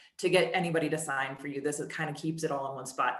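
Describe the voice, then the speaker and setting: A woman with a very deep, low voice talks at a very fast pace. Her intonation is fairly even, and the room echo is audible. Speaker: marketing director presenting software. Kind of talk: product demo webinar. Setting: webinar.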